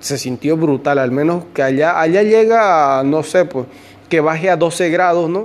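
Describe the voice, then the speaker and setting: A man with a fairly high voice talks at a fairly slow pace and ordinary pitch variation. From Bolivia, Santa Cruz de la Sierra. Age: 20s. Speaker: podcaster and migrant worker. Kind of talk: casual personal storytelling monologue. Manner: hesitant, many fillers and repetitions.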